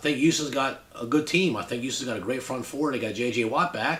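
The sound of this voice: Audible room echo surrounds a man who talks at a moderate pace with lively intonation and a fairly bright tone.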